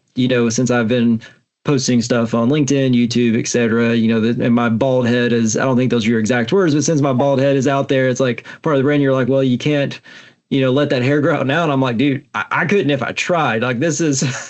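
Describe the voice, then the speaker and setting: A man with a strong Alabama accent, medium pitch, fairly even intonation, a fairly quick pace and very even loudness. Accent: strong Southern (Alabama). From US South (Alabama). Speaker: podcast host, tech specialist and content creator. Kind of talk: casual podcast interview.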